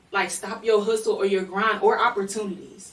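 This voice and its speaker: A woman with an American accent in an animated tone at a moderate pace, over noticeable background noise. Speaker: podcast co-host; higher education worker. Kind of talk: casual podcast chat.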